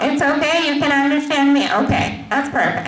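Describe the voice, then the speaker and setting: High-pitched, a woman's voice comes through noticeable background noise and audible room echo. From Pakistan. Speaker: cybersecurity manager, motivational speaker. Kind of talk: motivational talk to students.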